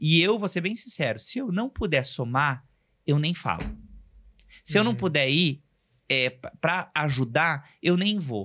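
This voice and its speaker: Over a very clean recording with a silent background, a man speaks in an animated tone at a fairly slow pace, with long, frequent pauses. His fairly high voice has very wide pitch swings, vocal fry, and a bright, sharp tone. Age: 40s. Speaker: entrepreneur and aspiring comedian. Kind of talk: casual chat.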